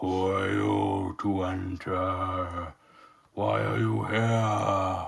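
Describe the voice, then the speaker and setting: In a put-on character voice, a man bellows at a very slow pace, growling and guttural, his pitch very deep and low. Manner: bellowing.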